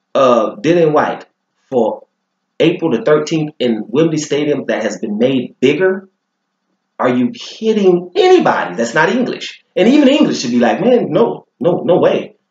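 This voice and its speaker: A man with vocal fry and a fairly high pitch talks at a moderate pace, his pitch swinging very widely. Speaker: boxing commentary vlogger. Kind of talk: opinion monologue to camera. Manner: animated.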